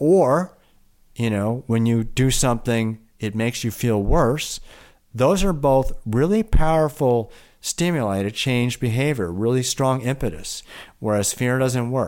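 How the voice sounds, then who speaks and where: With a Midwestern accent, a man speaks at medium pitch and a fairly slow pace. His intonation is lively, and the recording is very clean with a silent background. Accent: American Midwestern. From US Midwest, Milwaukee. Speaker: physician and yoga therapist. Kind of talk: interview.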